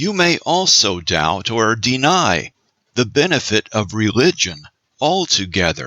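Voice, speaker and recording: With vocal fry and a bright, sharp tone, a man speaks at a fairly slow pace, his pitch swinging very widely. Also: dry, close sound with no echo. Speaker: audiobook narrator, voice actor. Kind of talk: audiobook narration.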